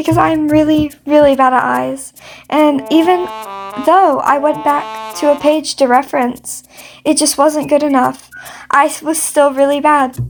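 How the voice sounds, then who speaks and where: Music plays in the background as a woman with a high pitch speaks at a moderate pace with ordinary pitch variation. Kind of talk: casual voiceover while drawing. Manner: halting, stumbling over words; rambling.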